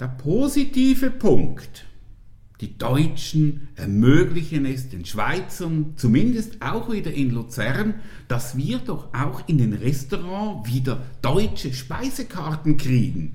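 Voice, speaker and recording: A man speaks at a very slow pace with a fairly high pitch and very wide pitch swings. His voice is somewhat breathy with a dark, mellow tone, and audible room echo surrounds it. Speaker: podcast guest. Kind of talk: casual chat.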